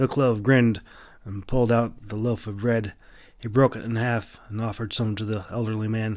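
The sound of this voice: An unforced reading voice is heard here.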